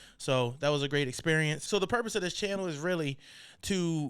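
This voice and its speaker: With an American accent and a fairly high pitch, a man in an unremarkable speaking voice talks at a moderate pace with ordinary pitch variation on a very clean recording with a silent background. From Maryland Eastern Shore (Salisbury). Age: 20s. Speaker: barber and podcast host. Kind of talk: casual podcast monologue. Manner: laid-back, conversational.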